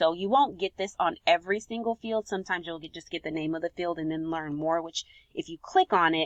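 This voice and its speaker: A woman has a normal speaking voice at medium pitch with ordinary pitch variation. She talks at a fairly quick pace. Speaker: software consultant. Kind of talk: tutorial.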